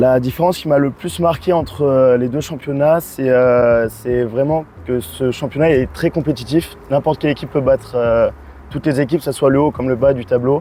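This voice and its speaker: This man talks at a moderate pace. His voice sits at a medium pitch with ordinary pitch variation. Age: 20s. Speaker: field hockey player. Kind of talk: pre-game interview. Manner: frequent filler hesitations.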